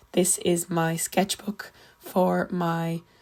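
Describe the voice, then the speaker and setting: A woman speaks with an Irish accent at a medium pitch. Her voice is somewhat breathy. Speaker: art student. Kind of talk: tutorial.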